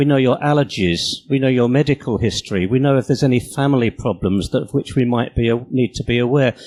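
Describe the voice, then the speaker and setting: With a British accent, a man speaks in a dark, mellow tone with ordinary pitch variation, the sound dry and close with no echo. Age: 60s. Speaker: conference speaker and apprentice preschool teacher. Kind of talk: conference talk.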